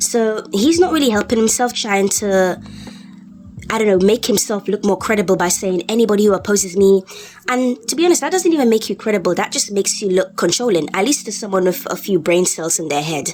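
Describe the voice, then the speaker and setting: The voice moves at a fairly quick pace with lively intonation over noticeable background noise. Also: woman, medium pitch for a woman. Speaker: YouTube commentator. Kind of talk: unscripted rant commentary. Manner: halting, with pauses and fillers.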